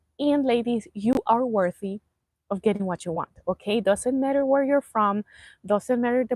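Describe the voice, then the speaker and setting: Her fairly high voice, with a Spanish accent and ordinary pitch variation, comes across dry and close with no echo. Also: very clean recording, silent background. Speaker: life coach. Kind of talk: live stream motivational talk. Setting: outdoors, live stream. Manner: casual, halting.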